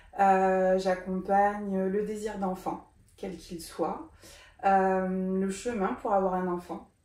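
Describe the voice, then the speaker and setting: Her voice sits at a medium pitch for a woman, with a dark, mellow tone. Room echo is audible. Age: 40s. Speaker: doula. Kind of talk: interview. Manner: hesitant, many fillers.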